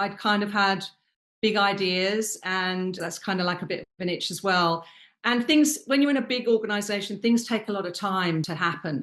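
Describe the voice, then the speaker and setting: A woman with a British accent speaks at medium pitch and a moderate pace, with ordinary pitch variation. The background is quiet. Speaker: luxury hospitality consultant. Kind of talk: interview.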